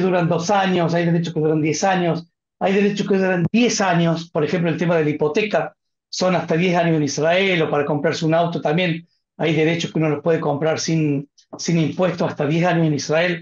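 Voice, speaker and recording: The man's pitch is high, with ordinary variation. He keeps a moderate pace and very even loudness. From Argentina, Córdoba. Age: 50s. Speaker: family finance adviser. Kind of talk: webinar Q&A.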